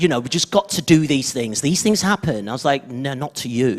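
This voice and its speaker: A man speaks with a Birmingham accent. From Birmingham, England. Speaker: former children's TV presenter. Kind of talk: panel discussion. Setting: stage with audience.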